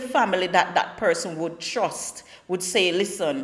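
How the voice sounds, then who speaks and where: A woman with a Jamaican accent and lively intonation, over noticeable background noise. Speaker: talk show host. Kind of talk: casual talk show monologue. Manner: conversational, repetitive stammering.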